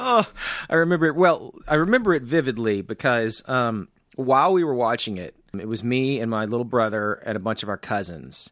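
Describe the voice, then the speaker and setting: With an American accent and an unremarkable speaking voice, a man talks at a fairly quick pace and a medium pitch, his intonation lively, on a very clean recording with a silent background. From Arkansas, US South. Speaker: film podcast co-host. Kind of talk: casual chat.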